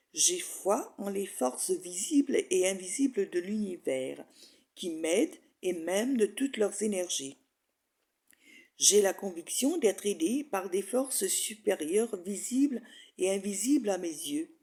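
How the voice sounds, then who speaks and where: In a very clean recording with a silent background, a woman of medium pitch speaks at a very slow pace with very wide pitch swings and a dark, mellow tone. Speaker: hypnosis and spirituality author and guide. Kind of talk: hypnosis meditation guide reading affirmations. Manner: calm, slow, soothing.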